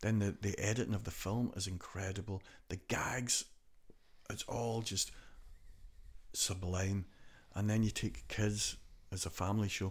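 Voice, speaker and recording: Somewhat breathy speech comes at a fairly slow pace with long, frequent pauses, on a very clean recording with a silent background. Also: man, fairly low pitch for a man. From Donegal, Ireland. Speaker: theatre performer, writer and musician. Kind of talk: casual interview chat, storytelling. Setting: podcast studio.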